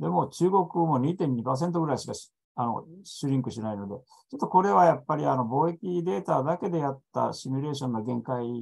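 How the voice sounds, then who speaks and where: The voice moves at a fairly quick pace with very wide pitch swings and big swings in loudness. The background is quiet. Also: man. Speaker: EU expert panelist; panelist. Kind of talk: presentation. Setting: online video conference. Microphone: video call.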